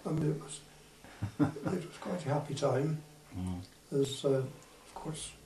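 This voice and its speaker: Over noticeable background noise, a man speaks fairly slowly at a fairly high pitch, leaving long, frequent pauses. His pitch varies in an ordinary way while his loudness swings widely. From Forest of Dean, Gloucestershire, England. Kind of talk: interview answer.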